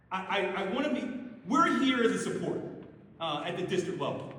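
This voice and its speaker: Loud and extremely high-pitched, a man talks with lively intonation amid audible room echo and noticeable background noise. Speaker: school district administrator. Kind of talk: public meeting Q&A. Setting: school meeting room with audience, no microphone.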